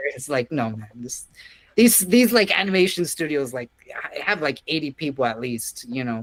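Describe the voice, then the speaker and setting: An American accent at a moderate pace, with very wide pitch swings and big swings in loudness. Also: man, fairly high pitch for a man. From South Texas. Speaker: comics artist. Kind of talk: casual interview. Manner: halting, many fillers and restarts.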